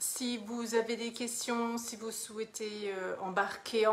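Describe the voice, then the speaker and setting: Speaking very slowly, a woman keeps a monotone, flat intonation. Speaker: mentor for women, online coach. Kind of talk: live stream monologue, self-promotion. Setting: live video. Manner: hesitant, many fillers.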